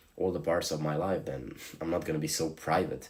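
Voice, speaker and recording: With a Slavic accent, a man speaks in a very deep, low pitch. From Slovenia. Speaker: streamer. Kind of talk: live stream chat.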